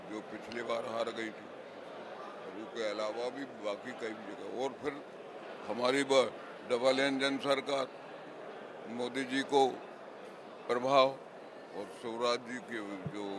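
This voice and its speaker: A man at a very slow pace, monotone, flat intonation, long, frequent pauses and noticeable background noise. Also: dry sound with no echo. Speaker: politician. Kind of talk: interview answer. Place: hall. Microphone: handheld.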